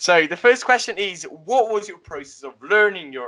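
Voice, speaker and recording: With an Italian accent, a high-pitched man speaks at a moderate pace in a raised, projected voice. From Italy. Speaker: podcast host. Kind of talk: podcast interview.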